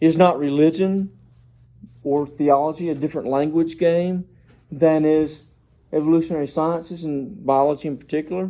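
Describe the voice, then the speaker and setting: Pitched fairly high, a man speaks at a moderate pace with long, frequent pauses, fairly even intonation, and a dark, mellow tone. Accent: Southern US. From US South, South Georgia. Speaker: doctoral student presenting dissertation proposal. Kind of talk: academic presentation. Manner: formal.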